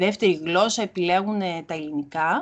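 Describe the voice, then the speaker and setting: A woman's medium-pitched voice at a fairly slow pace over a quiet background, an ordinary speaking voice. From Greece. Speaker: Greek language teacher. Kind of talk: interview.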